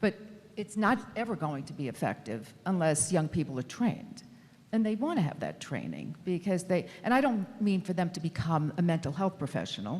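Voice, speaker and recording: This woman has a fairly low, fried voice with a New York accent, and her pitch swings very widely. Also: moderate pace. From New York City. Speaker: mental health researcher. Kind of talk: panel discussion. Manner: halting.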